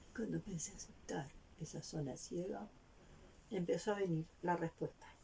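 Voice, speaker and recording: At a moderate pace, a woman with a fairly low pitch and a dark, mellow tone speaks with lively intonation and vocal fry. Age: 60s. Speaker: vlogger. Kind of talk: personal testimony.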